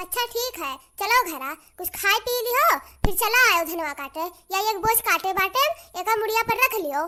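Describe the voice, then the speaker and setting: A squeaky, cartoonish character voice from a woman, extremely high in pitch, with lively intonation and a moderate pace. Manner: nagging, sarcastic.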